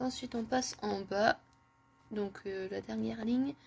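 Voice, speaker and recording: A woman is talking here. The rise and fall of her pitch is ordinary. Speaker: manga collector YouTuber. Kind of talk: casual show-and-tell video. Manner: hesitant, many fillers.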